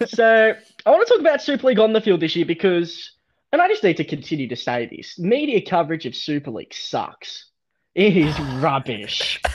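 A man speaks at a moderate pace with an Australian accent, his loudness swinging widely against a quiet background. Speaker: podcast host. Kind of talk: casual chat.

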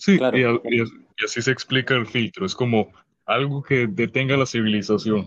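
His voice sits at a medium pitch for a man, with ordinary pitch variation. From Cayman Islands. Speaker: streamer and podcast guest. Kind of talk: casual chat. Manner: loud.

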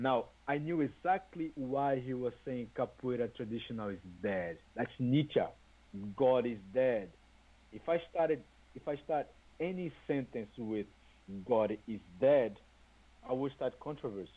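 A man with a Brazilian accent speaks fairly slowly at a medium pitch, with lively intonation. His pauses are long and frequent. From Brazil, Salvador, Bahia. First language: Portuguese. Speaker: capoeira teacher. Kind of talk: interview.

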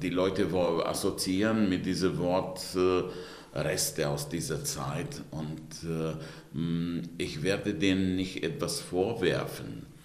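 Audible room echo surrounds a man with a very deep, low pitch who speaks at a very slow pace with lively intonation. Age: 60s. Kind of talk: interview. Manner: hesitant with many fillers.

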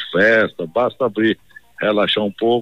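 A man's voice comes through with noticeable background noise around it. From Bahia, Brazil (Campo Formoso, then Salvador). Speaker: state politician. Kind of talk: broadcast interview.

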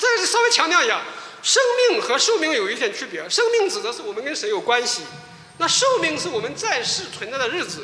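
A man's raised, projected voice at an extremely high pitch, with very wide pitch swings at a fairly quick pace, amid noticeable background noise and audible room echo. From mainland China. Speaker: pastor. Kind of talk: testimony.

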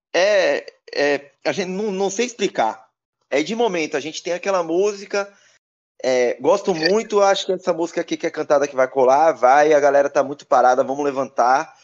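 A man's fairly high voice carries lively intonation at a moderate pace over a quiet background. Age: 30s. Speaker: DJ. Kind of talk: casual interview.

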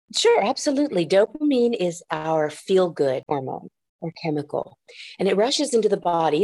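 Dark, mellow female voice at medium pitch with very wide pitch swings. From Puerto Rico. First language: Japanese. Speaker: clinical therapist. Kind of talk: interview.

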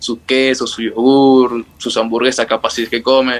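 With a medium pitch, this man keeps to a moderate pace. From northern Peru highlands (Cajamarca / La Libertad). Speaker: footballer. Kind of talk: interview.

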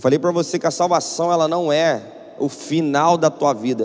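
With a Brazilian accent, a man talks in an animated tone at a fairly high pitch, his pitch varying in an ordinary way over noticeable background noise. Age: 30s. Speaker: pastor. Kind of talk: sermon.

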